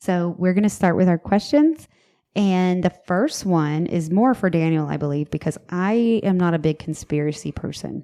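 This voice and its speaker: In a Southern US accent, a woman speaks with a fairly low, dark, mellow voice. The background is quiet. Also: ordinary pitch variation, moderate pace. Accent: Southern US, city. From US South. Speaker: podcast host. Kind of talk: casual chat. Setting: home office. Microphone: echoey room.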